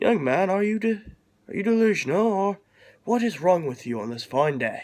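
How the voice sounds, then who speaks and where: A raspy, put-on character voice swoops through very wide pitch swings. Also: man, high pitch for a man, moderate pace. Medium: read story. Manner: courteous, old-fashioned.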